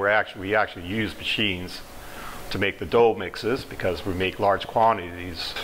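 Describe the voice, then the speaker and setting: Over light background noise, a man speaks fairly quickly in a fairly low voice with ordinary pitch variation. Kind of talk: interview answer. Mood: calm, friendly explanation. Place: kitchen.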